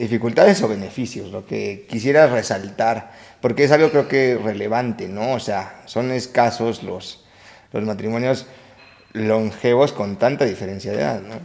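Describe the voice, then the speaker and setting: An ordinary speaking voice, a man at a medium pitch talks at a fairly slow pace with ordinary pitch variation and big swings in loudness. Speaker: podcast host. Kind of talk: interview questions.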